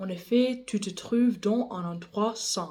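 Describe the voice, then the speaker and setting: Speaking very slowly with a non-native accent, a woman has a dark, mellow tone and fairly even intonation. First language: English (speaking French). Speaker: bible reader. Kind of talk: reading aloud; casual chat. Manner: halting, repeats words.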